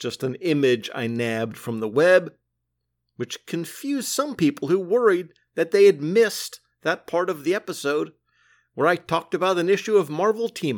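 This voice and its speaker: A man speaks at a high pitch with very wide swings. The recording is very clean, with a silent background. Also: moderate pace. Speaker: comics podcast host. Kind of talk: solo review podcast monologue.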